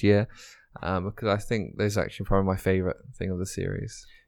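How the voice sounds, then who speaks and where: This man talks at a very fast pace with an English accent. His pitch sits fairly low. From Dubai, British parents. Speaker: racing driver. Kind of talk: interview.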